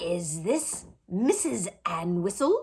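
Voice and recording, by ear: A put-on character voice, female-sounding and wheezy, at medium pitch for a woman.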